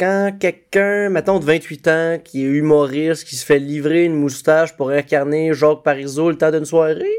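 Recorded very cleanly against a silent background, a man speaks at a fairly high pitch. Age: 20s. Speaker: comedian and podcast co-host. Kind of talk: scripted podcast narration.

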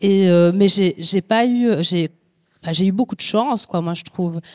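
Dry and close with no echo, the recording captures a woman with a dark, mellow tone. Her pitch variation is ordinary. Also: very clean recording, silent background. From Belgium, Sicilian immigrant family. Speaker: photographer. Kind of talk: panel discussion. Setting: venue with live audience.

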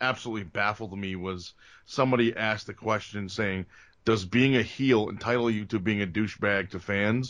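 A man with an unremarkable speaking voice and an American accent, medium in pitch, with ordinary pitch variation over a quiet background. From New Jersey, Bergen County. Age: 40s. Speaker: pro wrestler. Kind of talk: casual chat. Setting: video call.

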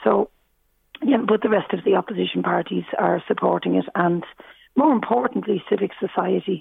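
In a Dublin accent, a woman speaks at a moderate pace with very even loudness. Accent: Irish, Dublin. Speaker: politician. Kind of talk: radio interview. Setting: phone call. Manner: hesitant, many fillers.

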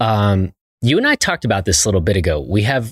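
Somewhat breathy and at a moderate pace, the voice comes through a very clean recording with a silent background and a dry, close sound with no echo. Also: man. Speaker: podcast host. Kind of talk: interview conversation. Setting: visiting distillery in person.

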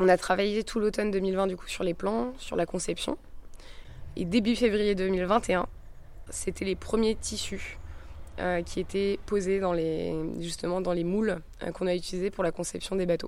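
At a moderate pace with long, frequent pauses, a woman speaks at a medium pitch with fairly even intonation. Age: 20s. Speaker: sailor. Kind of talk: interview.

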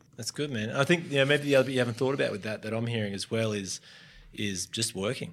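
A man's very fast speech in an Australian accent, medium in pitch with ordinary pitch variation, on a very clean recording with a silent background. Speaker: podcast host, former surf brand marketer. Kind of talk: interview.

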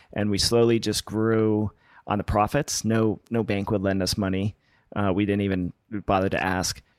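A man speaks at a moderate pace in a fairly low pitch, with an American accent and an ordinary speaking voice. The recording is very clean, with a silent background. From US West Coast (Los Angeles). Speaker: winemaker. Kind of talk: interview.

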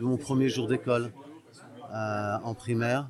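This man talks at a very slow pace. His medium-pitched voice keeps a fairly even intonation. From Portugal, raised in France (Paris suburbs). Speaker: music industry veteran and olive oil producer. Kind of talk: personal life story interview. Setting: restaurant lunch. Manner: halting.

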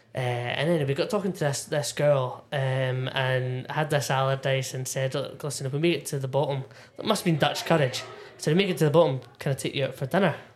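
Speaking at a very fast pace, a man with a Scottish accent has a fairly high pitch and a somewhat breathy voice. His intonation stays fairly even. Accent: Scottish (Ayrshire). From Scotland, Irvine, North Ayrshire. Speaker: whisky enthusiast and former bartender. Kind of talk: casual chat. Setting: pub back room.

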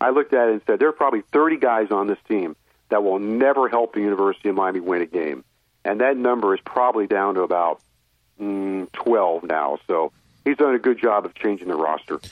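A man with an unremarkable speaking voice and an American accent, lively intonation, fairly quick pace. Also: fairly low pitch for a man. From Florida. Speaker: sports radio play-by-play announcer. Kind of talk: casual interview. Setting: phone call.

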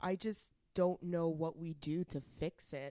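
A woman with a Canadian accent speaks in a dark, mellow tone at a fairly low pitch, her intonation fairly even. The recording is very clean with a silent background and a dry, close sound with no echo. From western Canada. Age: 30s. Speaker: podcast co-host. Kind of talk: casual chat. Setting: guest's office.

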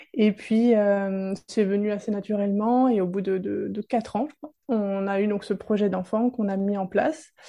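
At a fairly slow pace, a dark, mellow tone carries fairly even intonation against a quiet background. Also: woman, medium pitch for a woman. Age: 30s. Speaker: women's support practitioner. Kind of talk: testimony.

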